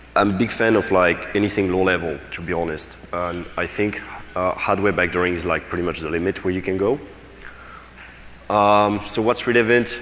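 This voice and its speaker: A man speaks at a moderate pace with a very deep, low pitch and fairly even intonation. Audible room echo and noticeable background noise surround him. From France. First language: French. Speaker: security researcher. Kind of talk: conference talk. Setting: stage with audience. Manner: casual, many fillers and restarts.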